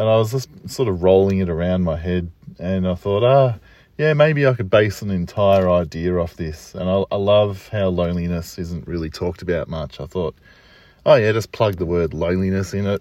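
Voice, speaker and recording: This man has a very deep, low voice and an Australian accent. He speaks at a moderate pace with ordinary pitch variation. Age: 40s. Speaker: poet. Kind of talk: solo reflective monologue. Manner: casual, halting with fillers.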